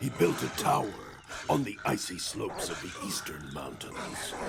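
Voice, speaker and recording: Putting on a character voice, a man speaks at a moderate pace in a very deep, low pitch, with clear background noise. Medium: machinima. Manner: scornful, condescending.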